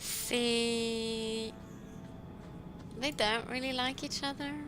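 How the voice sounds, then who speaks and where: A soft-spoken voice with music in the background and audible room echo. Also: woman. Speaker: let's play gamer. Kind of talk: gameplay commentary. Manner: halting.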